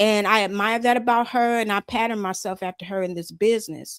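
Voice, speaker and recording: A woman with an American accent speaks in an unremarkable speaking voice at a fairly high pitch. Her pitch variation is ordinary, and the recording is very clean with a silent background. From Chicago. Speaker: southern soul singer. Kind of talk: interview.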